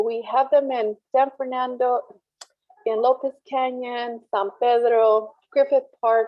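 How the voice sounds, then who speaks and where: The pace of this woman's speech is fairly slow. Her voice is high-pitched. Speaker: community organizer. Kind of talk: panel presentation.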